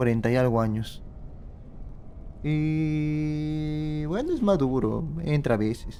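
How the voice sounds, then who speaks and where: With audible room echo, a man with a fairly high pitch and a dark, mellow tone speaks at a very even loudness, leaving long, frequent pauses. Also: ordinary pitch variation, fairly slow pace. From Peru. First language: Spanish. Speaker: game streamer. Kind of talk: live stream commentary.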